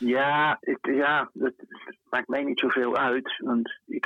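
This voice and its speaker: A man is speaking. He goes at a very slow pace. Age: 70s. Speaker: photographer. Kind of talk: interview. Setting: phone call. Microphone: difficult connection.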